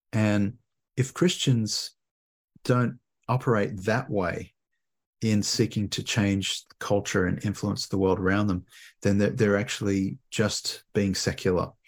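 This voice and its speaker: The speaker talks at a fairly slow pace in an Australian accent. The intonation is fairly even. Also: man, fairly low pitch for a man. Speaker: theology professor. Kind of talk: interview.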